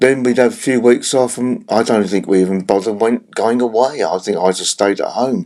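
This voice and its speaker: A man with a London accent speaks at a fairly quick pace with hardly any pauses, a medium pitch, ordinary pitch variation, and a dark, mellow tone. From South London, England. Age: 70s. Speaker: retired rock drummer. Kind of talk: interview. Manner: halting, many fillers.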